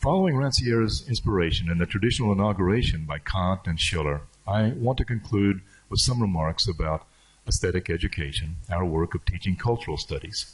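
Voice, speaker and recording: A man speaks at a fairly quick pace in a fairly low, somewhat breathy voice with lively intonation. The background is quiet. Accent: American. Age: 60s. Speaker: professor. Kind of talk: lecture.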